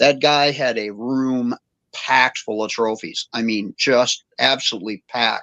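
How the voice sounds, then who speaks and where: At a fairly slow pace, a man talks in an animated, bright, sharp tone at medium pitch, the sound dry and close with no echo. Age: 60s. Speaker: shop owner and racer. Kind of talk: casual chat.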